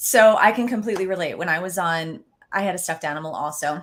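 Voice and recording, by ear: Using a put-on character voice, a woman talks at a very fast pace, raspy and hoarse at a medium pitch.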